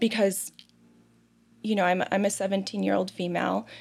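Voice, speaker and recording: This woman speaks at a medium pitch with a Midwestern American accent. Her voice has vocal fry and ordinary pitch variation. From Ohio, US Midwest (Toledo). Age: 30s. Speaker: foster care advocate. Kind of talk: interview testimony. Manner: halting, repeats words.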